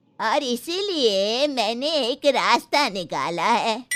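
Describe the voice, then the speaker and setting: A woman uses a cartoonish character voice, high-pitched and very slow, with very wide pitch swings. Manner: motherly, scolding.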